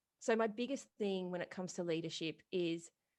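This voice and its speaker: A woman with an Australian accent speaks with lively intonation at a fairly quick pace over a quiet background. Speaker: retail business coach and podcast host. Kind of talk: podcast interview.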